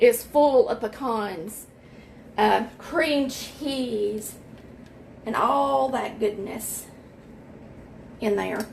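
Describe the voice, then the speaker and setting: Over noticeable background noise, a woman with an American accent speaks at a very slow pace in a fairly high voice. Her pauses are long and frequent. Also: lively intonation. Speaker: home baker. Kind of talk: tutorial. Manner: loud; casual.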